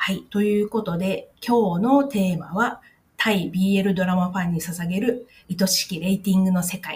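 At a moderate pace, a woman talks in a somewhat breathy voice of medium pitch with fairly even intonation. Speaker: podcast host, Thai-Japanese video translator. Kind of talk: casual explainer podcast. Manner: halting with many fillers.

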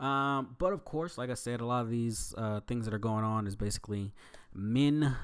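Over a silent background in a very clean recording, a man talks at a moderate pace and medium pitch in a plain, everyday voice. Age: 20s. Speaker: podcast host and trainee wrestler. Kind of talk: casual solo monologue. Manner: casual with frequent fillers.

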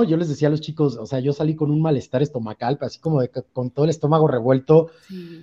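Pitched fairly high, a man talks at a fairly quick pace in a dark, mellow tone with ordinary pitch variation, the sound dry and close with no echo. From Veracruz, Mexico. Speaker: theatre director. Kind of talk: interview. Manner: hesitant, many fillers.

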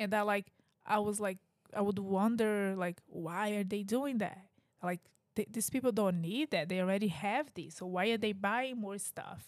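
With a Brazilian Portuguese accent, a woman speaks at a medium pitch. Her pace is moderate and her pitch variation ordinary. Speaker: podcast host and parent. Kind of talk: casual chat.

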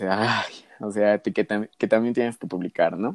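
A man speaks at a fairly slow pace in a fairly low pitch, with ordinary pitch variation and a dry, close sound with no echo over a quiet background. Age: 20s. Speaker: nursing student. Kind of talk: casual chat. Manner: halting.

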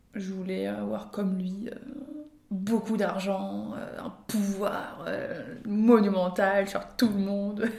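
Amid noticeable background noise and audible room echo, a woman speaks very slowly in a monotone, flat voice with big swings in loudness. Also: medium pitch for a woman. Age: 20s. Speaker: podcast guest sharing personal story. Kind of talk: personal testimony in casual chat. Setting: at the host's parents' home. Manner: hesitant, many fillers and repetitions.

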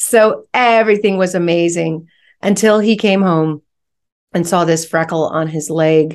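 An ordinary speaking voice, a woman's, comes through with an American accent and a fairly low pitch. She talks at a fairly slow pace with ordinary pitch variation against a quiet background. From US West Coast, San Francisco Bay Area. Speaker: real estate investor and company executive. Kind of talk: interview.

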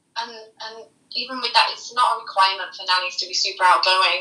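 Speaking with an American accent, a woman uses a fairly high pitch with ordinary pitch variation at a moderate pace. There is audible room echo. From UK. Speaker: professional nanny. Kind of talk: interview.

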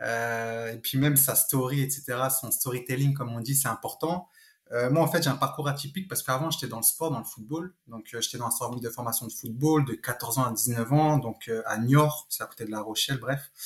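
The man's voice is medium in pitch and somewhat breathy. He keeps a moderate pace with ordinary pitch variation. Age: 30s. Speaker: real estate investor. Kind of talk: interview.

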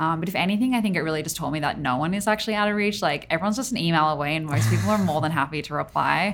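At a very fast pace, a woman speaks with a very deep, low pitch, vocal fry and very wide pitch swings. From Australia, Tamworth (regional New South Wales). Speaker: designer and art director. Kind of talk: casual interview chat. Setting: studio.

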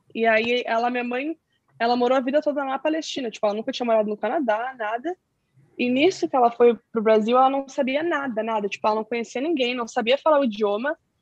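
Pitched high, a woman talks at a very fast pace. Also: ordinary pitch variation, dry, close sound with no echo. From southern Brazil (Pelotas, Rio Grande do Sul). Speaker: activist explaining Palestinian issues. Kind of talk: interview.

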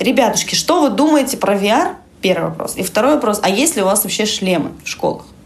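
Over noticeable background noise, a woman speaks at a fairly quick pace with a fairly high pitch that swings very widely. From Russian Far East, Vladivostok. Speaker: education lead, VR lab researcher. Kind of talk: casual interview. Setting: at her lab office.

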